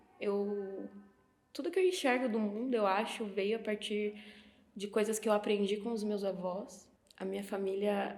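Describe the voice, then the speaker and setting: Audible room echo surrounds the woman's voice. Her intonation stays fairly even. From Brazil, interior of São Paulo (Sorocaba). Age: 20s. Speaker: film student. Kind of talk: documentary interview testimony.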